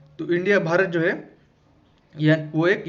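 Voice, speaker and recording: High-pitched and fairly even in intonation, a man speaks with audible room echo. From Maharashtra, India. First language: Marathi (speaking Hindi). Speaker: exam-prep teacher. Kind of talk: lecture. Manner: halting, with fillers.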